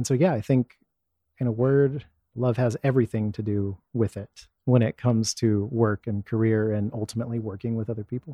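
A man with an ordinary speaking voice, medium in pitch, with an American accent, fairly even intonation and a fairly quick pace. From Texas (Dallas area, Rockwall). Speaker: executive leader and performance coach. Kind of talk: casual interview chat.

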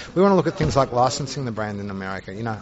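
A man speaks with an Australian accent in a medium pitch. Noticeable background noise is present. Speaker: juice company CEO. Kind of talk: interview. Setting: trade congress.

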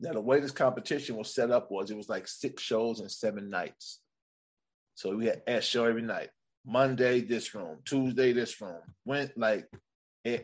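In a plain, everyday voice, a man with an American accent talks at medium pitch and a moderate pace, with ordinary pitch variation over a quiet background. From Sacramento, California. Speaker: stand-up comedian. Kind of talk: casual chat.

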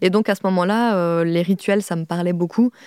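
The woman's voice has a dark, mellow tone at medium pitch, with fairly even intonation and a moderate pace. The recording is very clean, with a silent background. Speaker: video artist and author. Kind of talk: recorded interview, reflective talk.

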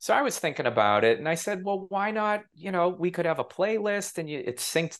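Against a quiet background, a man with an American accent and vocal fry speaks at a fairly quick pace. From US Northeast, Massachusetts. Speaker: television producer and author. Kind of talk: interview.

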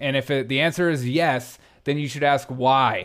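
In a very clean recording with a silent background, a man with an American accent has an ordinary speaking voice, a fairly high pitch and ordinary pitch variation. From US South. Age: 30s. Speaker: comedian and podcast host. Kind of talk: casual chat.

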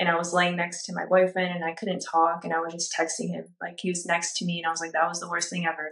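Talking at a very fast pace, a woman with an American accent keeps a monotone, flat intonation. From Orange County, California. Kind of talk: testimony.

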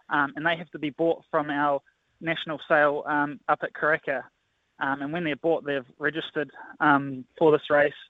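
The speaker has a New Zealand accent and a monotone, flat intonation. The pace is moderate. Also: man, fairly high pitch for a man. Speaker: assistant horse trainer. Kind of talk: casual interview.

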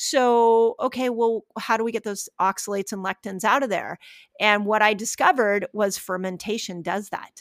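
At a moderate pace and fairly high pitch, a woman with an ordinary speaking voice and fairly even intonation is heard dry and close with no echo, on a very clean recording with a silent background. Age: 50s. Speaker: fasting and health expert. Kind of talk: interview.

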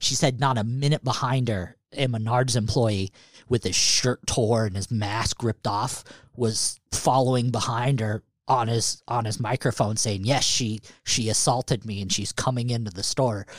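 Here is an ordinary speaking voice: a man with an American accent at a medium pitch and moderate pace, with fairly even intonation. The sound is dry and close with no echo, on a very clean recording with a silent background. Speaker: podcast host. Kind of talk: casual banter.

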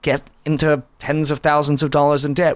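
With a plain, everyday voice, a man speaks at a moderate pace and a fairly high pitch. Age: 30s. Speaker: magazine editor and author. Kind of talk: casual interview.

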